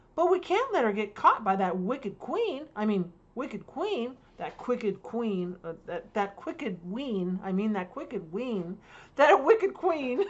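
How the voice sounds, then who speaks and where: In a put-on character voice, a woman sounds gruff and rumbling at a fairly high pitch and a moderate pace. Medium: read story. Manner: gruff, grumbling.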